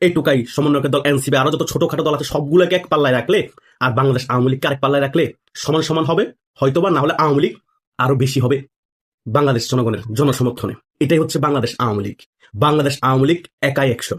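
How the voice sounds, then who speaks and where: The voice is somewhat breathy and animated in tone, with ordinary pitch variation. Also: man, fairly high pitch for a man. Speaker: political commentator. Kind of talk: political commentary.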